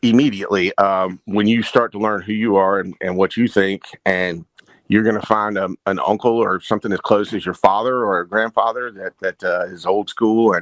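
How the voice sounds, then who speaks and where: In a North Carolina accent, a man speaks at a moderate pace with a fairly low pitch and fairly even intonation. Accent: Southern North Carolina. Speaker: garage rock musician and frontman. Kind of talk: casual podcast conversation. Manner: halting, many repetitions and fillers.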